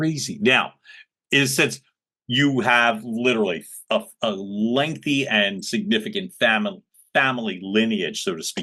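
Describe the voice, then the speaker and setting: A man with a Philadelphia accent speaks at a medium pitch in a bright, sharp tone. His pitch swings very widely at a fairly slow pace. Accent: Philly. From US, Philadelphia. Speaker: podcast host. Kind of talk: interview conversation. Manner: animated.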